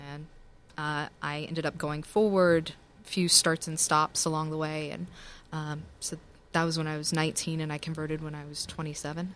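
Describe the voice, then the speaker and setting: Very deep, low pitch from a woman with an American accent, monotone, flat intonation and a moderate pace, on a very clean recording with a silent background. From US South, Tennessee. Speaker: attorney and blogger. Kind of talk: casual chat.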